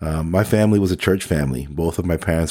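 A man with a New Jersey accent speaks in a very deep, low pitch with a dark, mellow tone. The recording is very clean, with a silent background. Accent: New Jersey American. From New Jersey (Elizabeth). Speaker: podcast host. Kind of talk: testimony.

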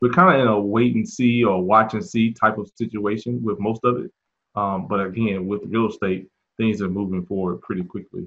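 With an American accent, a man talks at a fairly quick pace in a normal speaking voice, his pitch fairly low with ordinary pitch variation. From US South, Mississippi. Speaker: real estate agent and investor. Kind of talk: interview.

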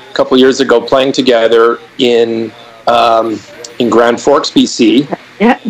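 Noticeable background noise behind a male voice, its pitch varying in an ordinary way. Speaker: podcast host, musician. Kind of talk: casual chat. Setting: video call.

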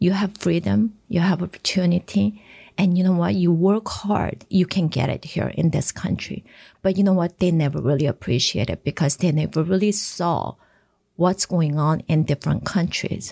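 This woman's fairly low, somewhat breathy voice has a dark, mellow tone and lively intonation, delivered at a moderate pace with very even loudness in a dry, close sound with no echo. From South Korea and Japan. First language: Korean. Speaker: congresswoman. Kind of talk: interview.

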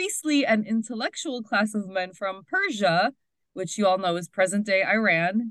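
A woman speaks at a fairly high pitch with lively intonation. She has an ordinary speaking voice. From Hoboken, New Jersey, Puerto Rican community. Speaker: podcast co-host. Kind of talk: casual chat.

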